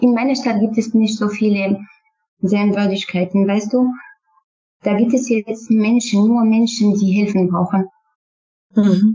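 A woman with a Kurdish accent, fairly high in pitch, monotone and flat, with very even loudness. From Syria, Kurdish. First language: Kurdish (speaking German). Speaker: refugee, former student. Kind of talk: interview. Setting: online call. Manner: halting.

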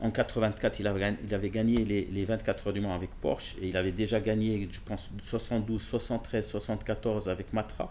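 The voice has a dark, mellow tone and a monotone, flat intonation. It moves at a fairly slow pace. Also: man, fairly low pitch for a man, hardly any pauses. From Morocco, Casablanca. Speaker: car dealership director and magazine founder. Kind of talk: casual interview. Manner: halting, with many repetitions.

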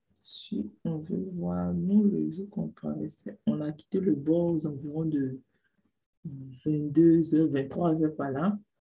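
The speech moves at a very slow pace with lively intonation. The voice is somewhat breathy. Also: woman, very deep, low pitch for a woman. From Ivory Coast. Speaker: migrant sharing her journey. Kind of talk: personal testimony.

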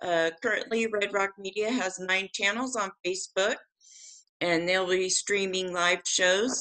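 A woman at medium pitch, fairly slow, with fairly even intonation and very even loudness. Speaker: podcast host. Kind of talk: casual live-streamed discussion. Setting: video call. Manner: hesitant, filler-heavy.

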